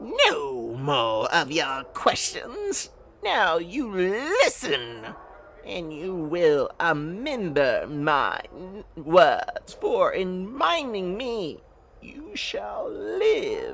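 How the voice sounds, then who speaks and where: Using a put-on character voice, a woman hisses her words at a medium pitch and a very slow pace. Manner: hissing.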